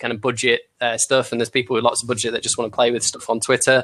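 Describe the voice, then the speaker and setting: This voice has a bright, sharp tone and a Manchester accent. Its intonation is flat and monotone. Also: man. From Manchester, England. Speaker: marketing agency founder. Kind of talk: panel discussion. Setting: live video call broadcast.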